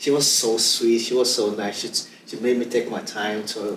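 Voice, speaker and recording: A man's medium-pitched voice, with ordinary pitch variation, comes at a moderate pace against noticeable background noise. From Nigeria. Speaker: immigrant guest. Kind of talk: casual interview.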